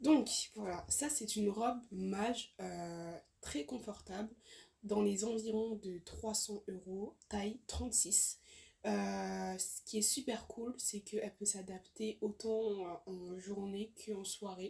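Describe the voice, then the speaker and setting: Somewhat breathy and at a medium pitch, a woman speaks at a very slow pace with fairly even intonation. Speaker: fashion YouTuber. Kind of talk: casual haul video talk to camera. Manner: hesitant, many fillers.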